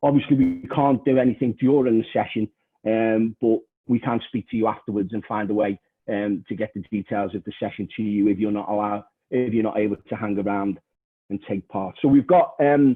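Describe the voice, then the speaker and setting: A man with a Liverpool accent, fairly low in pitch, at a fairly quick pace with ordinary pitch variation. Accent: Scouse. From northern England, Liverpool. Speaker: trade union education manager, session chair. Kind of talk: online panel moderation; presentation. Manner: hesitant, many fillers.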